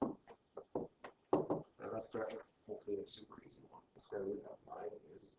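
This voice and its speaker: His loudness swings widely as a man speaks fairly slowly. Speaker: math teacher. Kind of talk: lecture.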